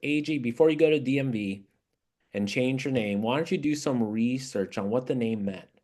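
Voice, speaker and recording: A man talks at a fairly quick pace over a quiet background. His medium pitch moves with ordinary variation. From Southern California, US. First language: Japanese. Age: 50s. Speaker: movement leader. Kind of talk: interview.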